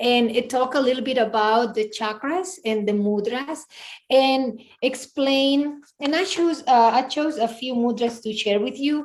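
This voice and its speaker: A fairly slow pace with a Spanish accent. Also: woman, high pitch for a woman, ordinary pitch variation. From Spain. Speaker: yoga and meditation teacher. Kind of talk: casual interview.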